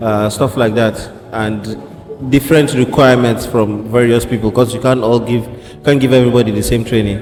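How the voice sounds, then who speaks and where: Against noticeable background noise, a man talks fairly quickly at a medium pitch with fairly even intonation. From Nigeria. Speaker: fitness enthusiast, graduate student. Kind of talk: casual interview. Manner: halting, many fillers.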